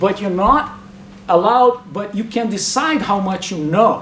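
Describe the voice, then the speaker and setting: A man with lively intonation, audible room echo, and noticeable background noise. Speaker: academic speaker. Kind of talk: lecture. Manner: fast.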